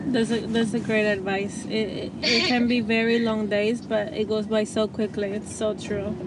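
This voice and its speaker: A woman's fairly high voice at a moderate pace, fairly even in intonation, with audible room echo and noticeable background noise. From immigrant to US. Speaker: podcast host. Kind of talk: interview; scripted intro.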